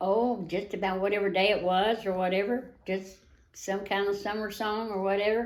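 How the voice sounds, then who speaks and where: In a Tennessee accent, a woman speaks at medium pitch and a moderate pace with monotone, flat intonation, and audible room echo surrounds her voice. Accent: Southern US (Tennessee). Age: 80s+. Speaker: retired wild horse adopter, rancher. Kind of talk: interview. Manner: halting.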